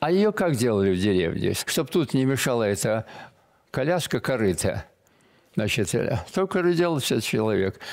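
A man with a medium pitch speaks at a moderate pace, his pitch swinging very widely while his loudness stays very even. Long, frequent pauses break up his speech against a quiet background. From Belarus, village. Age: 80s+. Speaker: military painter; guest. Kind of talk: interview. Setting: studio. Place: studio.

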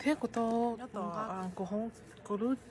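A woman talks with a Southeast Asian accent. Her pitch is fairly high. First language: Hmong (speaking Korean). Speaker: vlogger. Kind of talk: casual vlog. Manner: halting.

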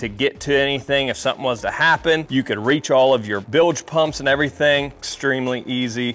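A man at a fairly quick pace, with fairly even intonation and hardly any pauses. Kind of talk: casual walkthrough tour. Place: garage. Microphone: lapel.

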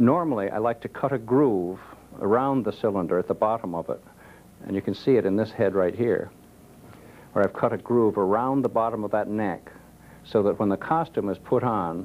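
At a moderate pace, a man with a fairly low pitch speaks with ordinary pitch variation. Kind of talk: tutorial. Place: studio.

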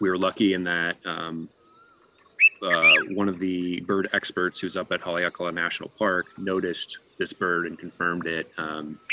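The delivery is monotone and flat at a fairly slow pace, in a dry sound with no echo and light background noise. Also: man. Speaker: invasive species manager. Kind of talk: webinar presentation. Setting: video call. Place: home room. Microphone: video call.

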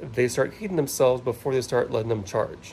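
Over light background noise, a man talks in a dark, mellow tone. He sounds somewhat breathy, and his pitch varies in an ordinary way. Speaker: trailer owner vlogger. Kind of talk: tutorial. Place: garage. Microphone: phone near.

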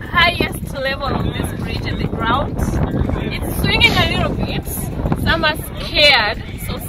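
Loud background noise surrounds a woman who talks at a fairly slow pace. The sound itself is dry, with no echo. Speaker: travel vlogger. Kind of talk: casual vlog chat. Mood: cheerful, excited. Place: open country. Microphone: phone near.

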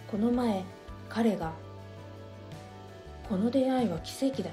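The tone is calm and soothing, at a moderate pace, with music in the background. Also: woman. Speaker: essay reader / narrator. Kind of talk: essay reading, relaxing bedtime story. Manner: soft, calm, soothing.

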